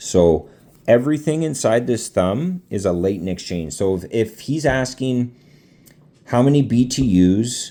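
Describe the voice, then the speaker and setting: A man with a dark, mellow tone and a medium pitch speaks at a fairly slow pace with lively intonation. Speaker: HVAC student explaining refrigeration. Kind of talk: tutorial. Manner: halting.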